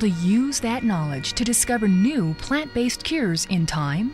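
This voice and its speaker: With music in the background, a woman talks at a moderate pace in a fairly high pitch, her voice making very wide pitch swings. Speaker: voice actor. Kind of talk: TV documentary narration.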